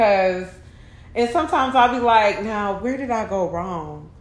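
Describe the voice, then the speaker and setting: Audible room echo surrounds a woman with a fairly high pitch and an animated tone. She speaks at a fairly quick pace with ordinary pitch variation. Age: 30s. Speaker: podcaster. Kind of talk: casual monologue.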